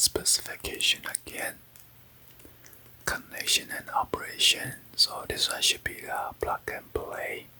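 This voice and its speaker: A man's calm whispering at a fairly slow pace, with big swings in loudness, long, frequent pauses and noticeable background noise. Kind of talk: ASMR unboxing. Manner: soft, whispered, calm.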